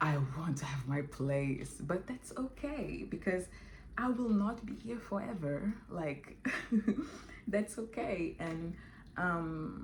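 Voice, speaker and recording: A woman's fairly low voice at a very slow pace, with very wide pitch swings and audible room echo. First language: Portuguese or French, not English. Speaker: vlogger. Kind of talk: casual vlog monologue. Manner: halting, with many fillers.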